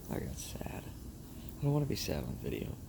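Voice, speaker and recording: A man mumbles his words. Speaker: vlogger. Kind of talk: casual monologue. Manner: mumbling.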